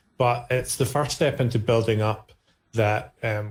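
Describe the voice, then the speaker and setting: On a very clean recording with a silent background, a man with a Scottish accent speaks at a moderate pace in a medium pitch, his voice somewhat breathy. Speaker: cloud-native community ambassador. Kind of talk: podcast interview. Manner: casual, hesitant with repetitions.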